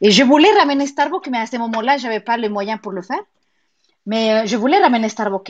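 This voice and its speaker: A woman with a Spanish accent, fairly high pitch, animated tone, ordinary pitch variation and a fairly quick pace. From Mexico. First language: Spanish (speaking French). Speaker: pilates and yoga studio owner. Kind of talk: interview. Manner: halting.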